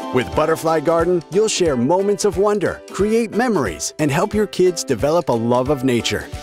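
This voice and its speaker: Over music in the background, the speaker keeps a moderate pace with hardly any pauses, very even loudness and very wide pitch swings. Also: man, fairly high pitch for a man. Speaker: voice-over announcer. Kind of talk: TV commercial read.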